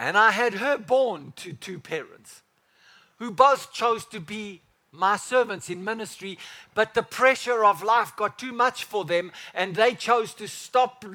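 A raised, projected voice with a bright, sharp tone moves at a fairly slow pace, with ordinary pitch variation and big swings in loudness. The recording is very clean, with a silent background. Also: man. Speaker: pastor. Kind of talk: sermon. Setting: church. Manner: animated; fervent, preaching in full flow, speaking as Father God.

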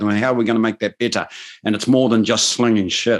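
Against a quiet background, a man speaks at medium pitch. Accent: New Zealand. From New Zealand, Waikato (Maori). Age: 50s. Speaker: business advisor and political commentator. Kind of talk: casual interview chat.

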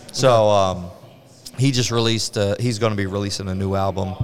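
Over music in the background, a man talks with fairly even intonation and a fairly low pitch. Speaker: brewery owner. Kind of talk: casual interview. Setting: on site at a brewery.

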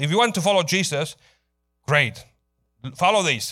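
Over a very clean, silent background, a man speaks at a fairly quick pace in a high, raised, projected voice. His tone is bright, sharp and animated, with ordinary pitch variation. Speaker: pastor. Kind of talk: sermon. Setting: church. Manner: fast.

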